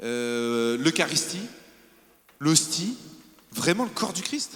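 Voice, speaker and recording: This man talks very slowly. His pitch rises and falls over a very wide range. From southern France, Var. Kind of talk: testimony. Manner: animated.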